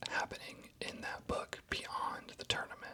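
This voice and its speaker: A man whispers over noticeable background noise. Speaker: ASMR creator. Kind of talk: casual talk to camera. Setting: studio. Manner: soft-spoken, whispered.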